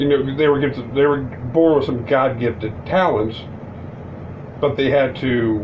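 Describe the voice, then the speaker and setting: Noticeable background noise and audible room echo surround a man whose medium-pitched voice keeps a fairly even intonation. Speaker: wrestling commentary YouTuber. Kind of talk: casual vlog commentary. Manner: fast; stumbling over words.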